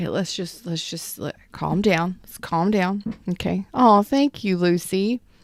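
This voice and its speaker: A soft-spoken woman talks at a fairly slow pace in an animated tone, with ordinary pitch variation and big swings in loudness. The sound is dry and close, with no echo. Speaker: tarot reader. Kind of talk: live-streamed tarot reading. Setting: livestream. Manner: soft-spoken, keeping voice low.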